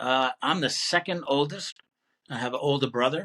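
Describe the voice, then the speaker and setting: With an American accent, a man speaks at a moderate pace in a fairly high pitch and a bright, sharp tone, the sound dry and close with no echo. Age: 60s. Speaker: retired military chief officer. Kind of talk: casual interview conversation.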